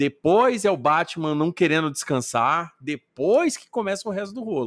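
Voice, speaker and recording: Recorded very cleanly with a silent background and a dry, close sound with no echo, a man speaks at a moderate pace. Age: 40s. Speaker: podcaster. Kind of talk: casual chat.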